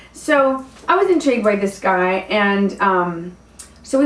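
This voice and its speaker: With audible room echo, a woman with an American accent speaks at a medium pitch and ordinary pitch variation. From US South. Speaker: dating coach and stand-up comedian. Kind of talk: casual vlog storytelling. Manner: hesitant, many fillers.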